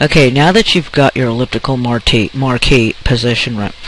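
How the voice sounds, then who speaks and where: There is noticeable background noise as a man talks at a moderate pace in a medium pitch with ordinary variation. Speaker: photo editing tutorial maker. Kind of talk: tutorial.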